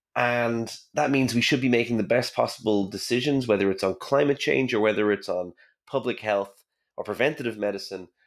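A man with an Irish accent speaks very fast at medium pitch with ordinary pitch variation, in a very clean recording with a silent background. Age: 30s. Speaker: science communicator and physicist. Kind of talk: interview.

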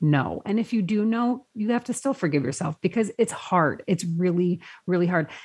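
A somewhat breathy woman's voice at medium pitch with ordinary pitch variation. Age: 40s. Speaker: lifestyle blogger. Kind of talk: casual chat.

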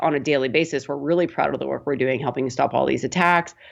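A woman with a western Canadian accent speaks with ordinary pitch variation. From Canada, Prince Albert, Saskatchewan. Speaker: tech company co-founder. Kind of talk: interview.

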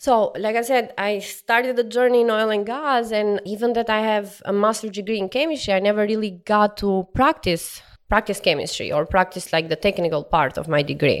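Against a silent background in a very clean recording, a woman with an Albanian accent talks at a fairly quick pace with hardly any pauses, her fairly high pitch showing ordinary variation. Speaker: oil and gas sales professional. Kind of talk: interview. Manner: laughs often.

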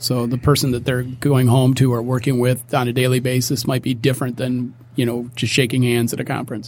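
In a monotone, flat intonation, a man speaks fairly quickly at a medium pitch, his voice somewhat breathy. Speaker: musician. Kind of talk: casual chat.

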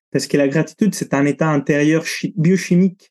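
A man with a fairly high pitch and a dark, mellow tone speaks with ordinary pitch variation. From Italy. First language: Italian (speaking French). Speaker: breathing coach and cold-exposure instructor. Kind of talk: interview conversation.

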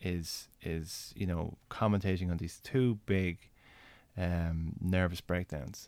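A man with an Irish accent speaks at a very slow pace with a very deep, low pitch and fairly even intonation. The recording is very clean, with a silent background. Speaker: senator and podcast host. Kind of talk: casual conversational interview.

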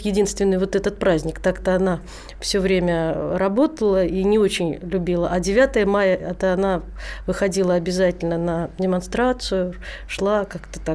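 A woman speaks at a moderate pace in a normal speaking voice. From Rzhev, Russia. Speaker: singer. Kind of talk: casual chat. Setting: studio.

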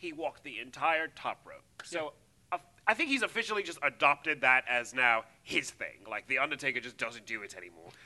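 This speaker talks with an English accent. The pace is fairly quick. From England. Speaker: wrestling podcast co-host. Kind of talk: casual chat. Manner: animated.

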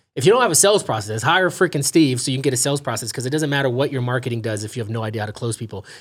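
Speaking at a very fast pace with hardly any pauses, a man with an American accent has a somewhat breathy voice, medium pitch and ordinary pitch variation. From California, Los Angeles. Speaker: real estate investor. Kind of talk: casual interview.

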